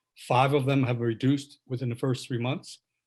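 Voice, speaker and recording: A somewhat breathy man speaks fairly quickly at a medium pitch with fairly even intonation. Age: 70s. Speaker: patient. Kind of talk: audience question in virtual town hall. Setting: video call.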